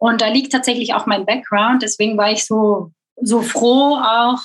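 This woman has an unremarkable speaking voice and a fairly high pitch. Her pace is moderate. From Belgium. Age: 30s. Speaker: e-commerce content manager. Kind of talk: interview.

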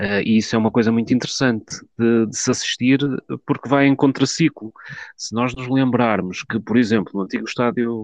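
The recording has a dry, close sound with no echo and a quiet background. A man with a normal speaking voice talks at medium pitch and a moderate pace, with fairly even intonation. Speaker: football fan commentator. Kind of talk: online group discussion.

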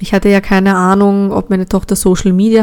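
A woman speaks over noticeable background noise. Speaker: podcast host. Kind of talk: personal testimony.

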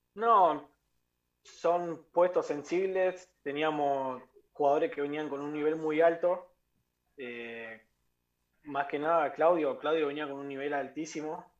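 Against a quiet background, a man with a fairly high pitch talks at a very slow pace, with long, frequent pauses, big swings in loudness and ordinary pitch variation. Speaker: professional footballer. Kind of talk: interview.

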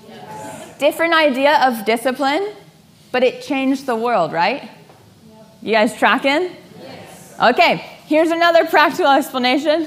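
An animated, high-pitched woman's voice with lively intonation at a moderate pace, over noticeable background noise. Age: 30s. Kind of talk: teaching session to a group.

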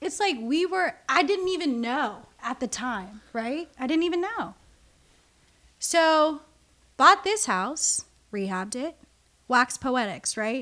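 A woman with an American accent uses a raised, projected voice that is high-pitched, bright and sharp, speaking at a very slow pace with long, frequent pauses and very wide pitch swings. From US West Coast, Southern California (Orange County). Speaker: artist and curator. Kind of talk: casual interview.

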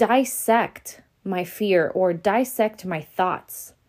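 A woman speaks at a medium pitch with ordinary pitch variation, in a normal speaking voice. The recording is very clean, with a silent background. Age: 20s. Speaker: podcast host. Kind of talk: solo motivational podcast monologue. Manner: casual, with frequent fillers and laughter.

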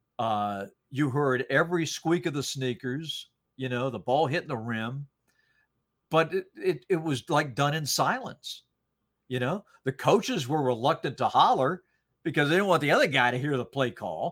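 Talking with an American accent, a man has an unremarkable speaking voice. His fairly high pitch varies in an ordinary way at a moderate pace. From US South, North Carolina. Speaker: sports play-by-play commentator. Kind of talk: podcast interview.

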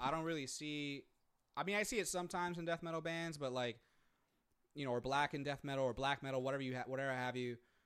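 A plain, everyday voice from a man with a fairly high pitch, at a fairly quick pace with ordinary pitch variation. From Puerto Rico (Manatí), raised partly in US. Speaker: podcast co-host. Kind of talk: casual bilingual chat. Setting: remote recording.

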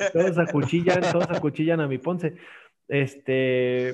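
Against a quiet background, a man speaks at a fairly slow pace in a fairly high pitch with ordinary pitch variation. It is a plain, everyday voice. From Mexico, Aguascalientes. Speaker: podcast host. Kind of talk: casual chat.

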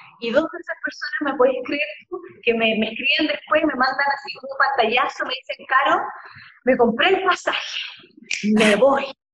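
A woman with a high voice talks at a moderate pace with ordinary pitch variation and long, frequent pauses. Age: 40s. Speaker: astrologer and therapist. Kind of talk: casual chat. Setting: live video stream. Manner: animated.

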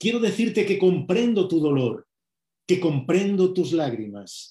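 A high-pitched male voice, dark and mellow in tone. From Spain. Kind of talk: sermon.

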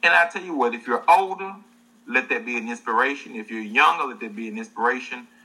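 Talking at a very fast pace in a Southern US accent, a man with a medium pitch and a bright, sharp tone uses lively intonation and big swings in loudness. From US South. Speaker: livestream show host. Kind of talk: casual livestream interview. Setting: online livestream.

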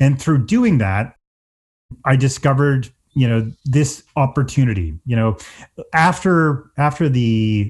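A man with an Atlantic Canadian accent speaks at medium pitch, somewhat breathy and with lively intonation, over a quiet background. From Atlantic Canada. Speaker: tech company CEO. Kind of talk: interview.

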